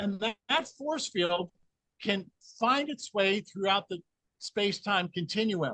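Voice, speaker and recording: A raised, projected voice with a bright, sharp tone moves at a fairly slow pace with ordinary pitch variation, in a dry, close sound with no echo. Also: man, high pitch for a man. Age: 60s. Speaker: energy healing researcher. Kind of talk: interview.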